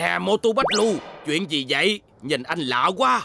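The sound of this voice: A man speaks in a cartoonish character voice, fairly high-pitched and fried, with big pitch swings, a bright, sharp tone and a fairly slow pace.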